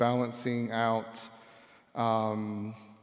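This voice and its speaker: A man speaks with an Australian accent. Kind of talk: panel discussion.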